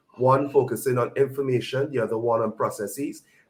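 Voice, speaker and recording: Monotone, flat intonation marks this man's fairly quick speech. His medium-pitched voice is somewhat breathy. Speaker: conference speaker on digital transformation. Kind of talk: conference presentation.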